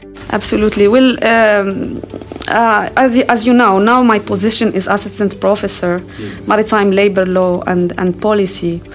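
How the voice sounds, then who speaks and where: Noticeable background noise sits under speech delivered at a moderate pace with fairly even intonation. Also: woman, medium pitch for a woman. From Morocco. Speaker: professor. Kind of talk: interview.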